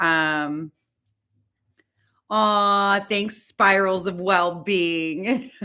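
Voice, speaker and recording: A loud woman with a bright, sharp tone and fairly even intonation, with long, frequent pauses. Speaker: yoga instructor. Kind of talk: live-streamed yoga class. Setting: at home, live stream. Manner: casual, chatty.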